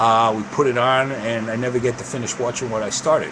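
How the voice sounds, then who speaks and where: Man with an East Coast US accent, medium pitch and a moderate pace, amid noticeable background noise and audible room echo. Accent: East Coast US accent, unchanged. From US East Coast. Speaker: video podcast host on diabetes. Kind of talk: casual live show talk. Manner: casual, meandering with fillers.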